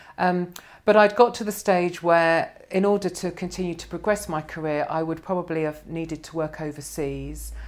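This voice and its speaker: Here a woman talks at a moderate pace, with a fairly low pitch and fairly even intonation, in an ordinary speaking voice. The recording is very clean, with a silent background. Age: 50s. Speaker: financial planner. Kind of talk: casual chat. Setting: office.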